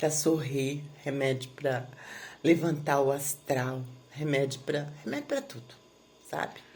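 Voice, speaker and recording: Speaking very slowly with long, frequent pauses, a woman with a very deep, low pitch and a somewhat breathy voice keeps a monotone, flat intonation while her loudness swings widely. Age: 60s. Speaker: therapy client giving a testimonial. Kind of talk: testimony. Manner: halting, many filler pauses.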